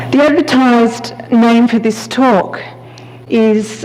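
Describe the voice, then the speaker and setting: A woman speaks in an Australian accent with a high pitch. Her pitch varies in an ordinary way, and background noise is noticeable. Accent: Australian twang. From Australia, Sydney. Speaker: palliative care physician. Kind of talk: keynote lecture. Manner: hesitant fillers.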